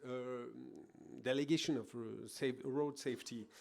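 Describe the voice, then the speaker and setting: A man with a French accent and fairly even intonation. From France. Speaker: government road safety official. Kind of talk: conference presentation. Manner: halting.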